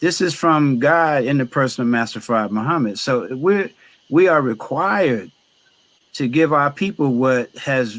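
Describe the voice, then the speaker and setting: A man with an American accent, fairly high-pitched, an ordinary speaking voice, lively intonation, and a fairly slow pace. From northern New Jersey. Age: 60s. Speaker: chef and baker. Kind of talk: interview conversation.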